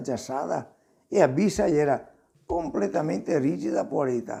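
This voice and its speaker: With music in the background, a speaker in a Venetian accent talks at a moderate pace with lively intonation. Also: man. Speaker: grandfather storyteller. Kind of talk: folk tale telling to children.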